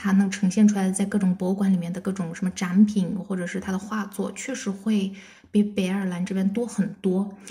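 A woman talks at a fairly quick pace in a medium-pitched, dark, mellow, somewhat breathy voice with monotone, flat intonation. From China. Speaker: bank auditor. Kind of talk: casual chat.

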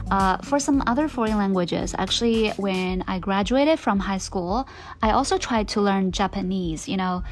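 A woman at medium pitch with ordinary pitch variation, moderate pace, and music in the background. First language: Mandarin Chinese. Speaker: podcast host. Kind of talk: casual monologue. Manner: hesitant, many fillers.

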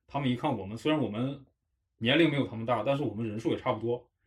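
Very fast speech comes from a man with a medium pitch and ordinary pitch variation. His voice is somewhat breathy. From Harbin, northeast China. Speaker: podcast host. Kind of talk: casual chat.

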